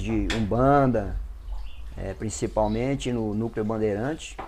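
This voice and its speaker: This man has a dark, mellow tone. His pitch sits in the medium range. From Brazil, Brasília / Goiás region. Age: 60s. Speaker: Afro-Brazilian religious priest. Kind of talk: interview testimony.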